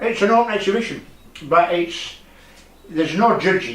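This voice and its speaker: Room echo is audible as a man speaks. His pace is moderate and his intonation lively. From northern England (Leeds, Yorkshire). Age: 70s. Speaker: retired resident and amateur painter. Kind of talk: interview. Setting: at home in his conservatory. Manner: halting.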